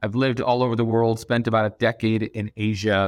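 A man with an American accent and an ordinary speaking voice speaks at a fairly low pitch with fairly even intonation. The sound is dry and close with no echo, and the background is quiet. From Boston suburbs, Massachusetts, US. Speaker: venture capital fund manager. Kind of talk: interview. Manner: many filler words and restarts.

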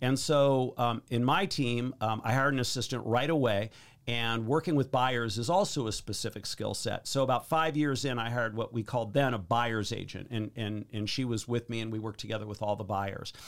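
This man has an unremarkable speaking voice at a medium pitch, with ordinary pitch variation. He talks at a fairly quick pace on a very clean recording with a silent background. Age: 50s. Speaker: real estate agent. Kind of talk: interview.

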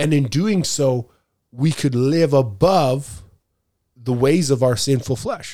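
A very slow man in a Canadian accent, dark and mellow in tone, fairly high in pitch, with lively intonation. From Canada. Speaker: podcast host, preacher. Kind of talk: Bible teaching discussion.

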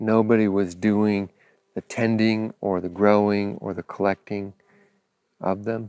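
Relaxed and dark, mellow in tone, a man speaks with monotone, flat intonation. His speech has long, frequent pauses. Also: fairly slow pace, dry, close sound with no echo. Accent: American. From US West Coast, Los Angeles. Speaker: podcast host, farmer and former pastor. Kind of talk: casual monologue. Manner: relaxed, with frequent filler words.

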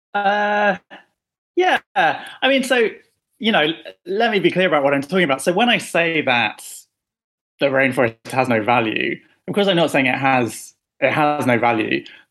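With a London accent, the speaker has a bright, sharp tone, very wide pitch swings and very even loudness. The pace is moderate, with long, frequent pauses, and the background is quiet. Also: man, fairly high pitch for a man. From London, England. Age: 30s. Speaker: novelist. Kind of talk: interview.

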